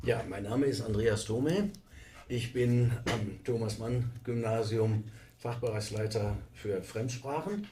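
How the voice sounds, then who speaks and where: A man talks very slowly at medium pitch in a dark, mellow, somewhat breathy tone. His intonation is fairly even. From Westphalia, Germany. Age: 60s. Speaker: teacher. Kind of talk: interview.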